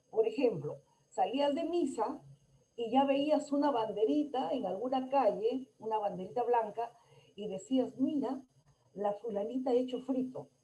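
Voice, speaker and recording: A woman's high-pitched, dark, mellow voice at a fairly slow pace, with ordinary pitch variation. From Peru, Lambayeque. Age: 70s. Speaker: conference speaker. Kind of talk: lecture.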